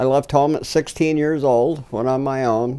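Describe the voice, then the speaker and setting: A man with a Pacific Northwest accent, at a moderate pace, with ordinary pitch variation. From Washington state, US. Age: 70s. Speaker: filmmaker's grandfather. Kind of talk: interview storytelling.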